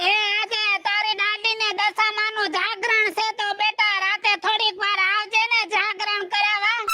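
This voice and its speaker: A woman performs a put-on character voice at a fairly slow pace. Clear background noise runs behind her. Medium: comedy sketch. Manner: folksy, chatty.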